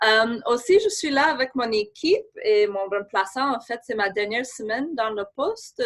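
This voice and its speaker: With an English Canadian accent, a woman speaks at a high pitch and a fairly slow pace. Her intonation is lively, and she hardly pauses at all. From Canada, Saskatchewan. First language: English (speaking French). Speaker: government official. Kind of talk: webinar presentation. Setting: remote from her office. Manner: halting.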